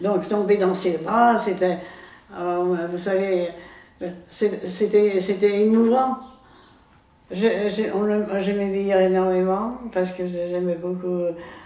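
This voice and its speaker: A woman of medium pitch talks very slowly in a monotone, flat delivery, with long, frequent pauses and noticeable background noise. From France. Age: 80s+. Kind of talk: interview answer. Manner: hesitant, halting.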